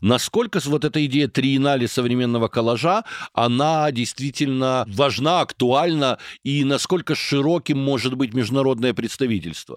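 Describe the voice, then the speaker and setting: Dry and close with no echo, a man's plain, everyday voice holds very even loudness at medium pitch, with ordinary pitch variation and a moderate pace. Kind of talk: interview.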